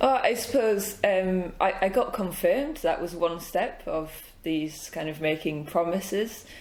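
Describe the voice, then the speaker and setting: Lively intonation at a fairly slow pace over noticeable background noise. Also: woman, medium pitch for a woman. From northern England. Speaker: church intern. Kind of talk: interview. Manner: loud; hesitant, many fillers.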